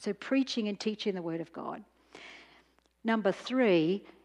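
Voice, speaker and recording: A woman speaks with an Australian accent at a medium pitch. She keeps a moderate pace and ordinary pitch variation. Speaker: professor and speaker. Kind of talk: lecture. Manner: intense.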